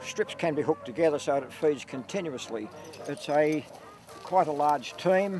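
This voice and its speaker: Over music in the background, a man with an Australian accent speaks at a fairly high pitch with ordinary pitch variation. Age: 70s. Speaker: light horse troop leader, army veteran. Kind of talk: interview.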